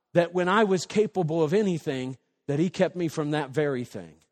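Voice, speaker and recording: A man's high-pitched voice at a fairly quick pace, with ordinary pitch variation and a quiet background. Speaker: pastor. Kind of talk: sermon. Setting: church. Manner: loud; animated.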